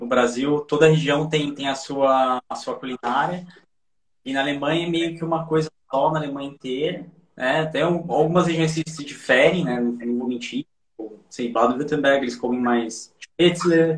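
In an unremarkable speaking voice, a man with a fairly high pitch talks at a moderate pace with fairly even intonation. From São Paulo / Osasco, Brazil. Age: 30s. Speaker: expat guest, IT worker. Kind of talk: casual interview chat.

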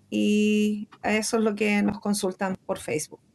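Here a woman is speaking. Her pace is very slow. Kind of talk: radio interview.

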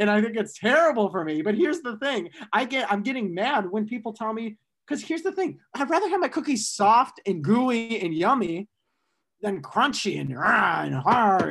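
In an American accent, a man speaks at a high pitch. He makes very wide pitch swings. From Michigan, US Midwest. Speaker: student podcast host. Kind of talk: casual chat.

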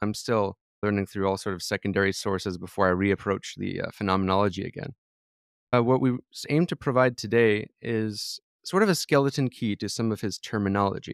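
A man with a fairly low pitch speaks at a fairly quick pace in an ordinary speaking voice, with ordinary pitch variation, in a very clean recording with a silent background and a dry, close sound with no echo. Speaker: podcast host. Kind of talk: interview discussion about philosophy.

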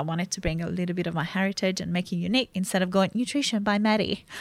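Very fast and in an Italian accent, a woman talks at a medium pitch with fairly even intonation. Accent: Italian accent, noticeable. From Italy. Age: 20s. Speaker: clinical nutritionist. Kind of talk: casual interview chat. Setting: studio.

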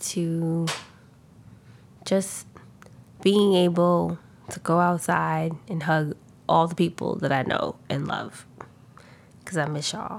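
Speaking at a very slow pace with long, frequent pauses, a woman keeps a monotone, flat intonation at a fairly low pitch. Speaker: podcast co-host. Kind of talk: casual chat. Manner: laid back.

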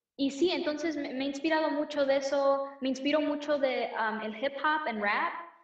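Audible room echo colors the recording. A woman speaks in an American accent. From United States, Mexican-American. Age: 20s. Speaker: singer-songwriter. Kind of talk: casual interview chat.

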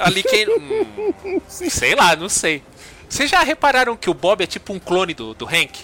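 Noticeable background noise sits behind a dry, close recording with no echo. A man talks at a fairly slow pace. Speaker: podcast host. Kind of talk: casual chat.

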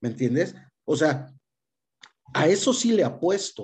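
A man with fairly high pitch, an animated tone, lively intonation, and a somewhat breathy quality. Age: 40s. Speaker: chronic illness patient and social media creator. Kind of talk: interview conversation. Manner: halting.

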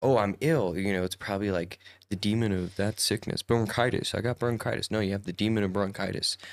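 Animated tone at a fairly quick pace, a dry, close sound with no echo, very clean recording, silent background. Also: man, fairly low pitch for a man. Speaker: podcast host. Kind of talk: casual chat. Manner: joking, animated.

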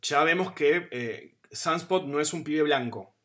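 A man's bright, sharp voice with an Argentine accent and ordinary pitch variation. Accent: Argentine Spanish (Rioplatense). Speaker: podcast host. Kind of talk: casual chat. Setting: video call.

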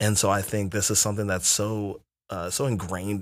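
A man with a plain, everyday voice talks at a fairly low pitch with an American accent and a fairly quick pace. The recording is very clean with a silent background. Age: young. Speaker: podcast co-host and youth pastor. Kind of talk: casual chat.

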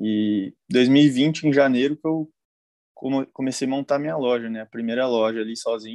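The man has a plain, everyday voice at a medium pitch with ordinary pitch variation, delivered at a moderate pace. The recording is dry and close with no echo, over a quiet background. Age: 20s. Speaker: dropshipping entrepreneur, mentoring student. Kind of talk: live-stream interview. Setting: live stream.

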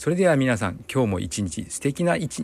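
In a very clean recording with a silent background, a man with vocal fry talks at a moderate pace. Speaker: physical therapist and podcast host. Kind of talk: solo podcast monologue.

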